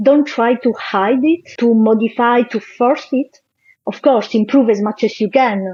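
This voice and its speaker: Speaking at a fairly slow pace, a woman has an Italian accent and a fairly high pitch. Her tone is dark and mellow, with ordinary pitch variation. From southern Italy. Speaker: engineer and corporate trainer. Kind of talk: interview conversation. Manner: hesitant, with filler sounds.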